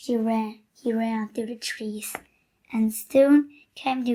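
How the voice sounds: Against a quiet background, a natural reading voice carries fairly even intonation.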